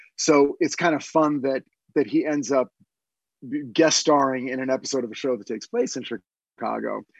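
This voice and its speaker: Recorded dry and close with no echo, a man with a plain, everyday voice speaks in a medium pitch with ordinary pitch variation. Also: moderate pace. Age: 50s. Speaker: TV writer. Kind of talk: casual chat.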